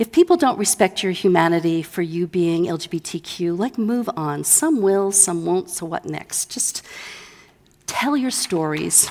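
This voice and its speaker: With an unremarkable speaking voice, a woman speaks fairly slowly at a fairly low pitch and with lively intonation. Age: 60s. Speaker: author and LGBTQ+ advocate. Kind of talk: conference keynote talk. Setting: stage with audience.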